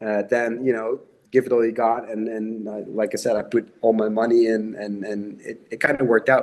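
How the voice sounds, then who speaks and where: A man with a Dutch accent, medium pitch and monotone, flat intonation, at a moderate pace. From Netherlands. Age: 40s. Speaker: horror novelist. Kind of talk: interview.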